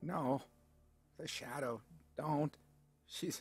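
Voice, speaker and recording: A put-on character voice, croaky and hoarse, mumbling at a low-to-middle pitch. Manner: mumbling, distressed.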